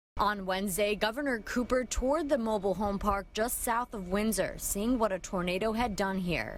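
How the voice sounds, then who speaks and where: A normal speaking voice from a woman: medium pitch, moderate pace and ordinary pitch variation. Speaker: TV news reporter. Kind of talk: TV news report.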